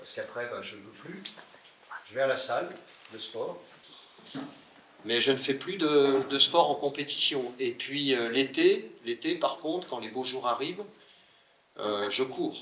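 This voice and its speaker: Against noticeable background noise, a man with a fairly high pitch speaks fairly slowly, with big swings in loudness, long, frequent pauses and ordinary pitch variation. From France, Burgundy (Le Creusot). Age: 60s. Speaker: mayor. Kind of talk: interview Q&A.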